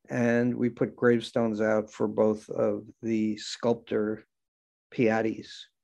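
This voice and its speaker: A voice in an American accent moves at a fairly slow pace, its tone dark and mellow. The background is quiet. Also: man. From New York area, Long Island. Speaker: cemetery historian. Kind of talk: interview.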